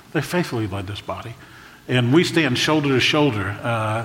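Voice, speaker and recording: There is noticeable background noise as a man talks at a moderate pace with ordinary pitch variation. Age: 60s. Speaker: pastor. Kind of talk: sermon. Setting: church stage. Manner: emotional, prone to choking up.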